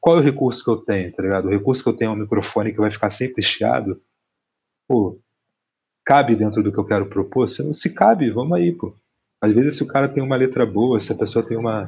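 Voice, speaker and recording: A man's somewhat breathy, medium-pitched voice at a very fast pace, with ordinary pitch variation. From Rio de Janeiro, West Zone (Brazil). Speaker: musician and visual artist. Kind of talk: casual interview chat.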